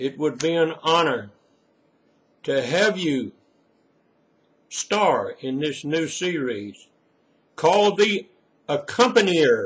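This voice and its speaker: Speaking very slowly with long, frequent pauses, a man uses a high pitch that swings very widely. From Mississippi. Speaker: retired preacher and storyteller. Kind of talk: personal reminiscence. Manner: folksy, unscripted.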